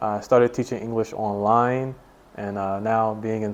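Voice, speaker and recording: This man has an American accent and talks at a moderate pace. His intonation is flat and monotone. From USA. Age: 20s. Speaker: English teacher. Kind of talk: casual interview.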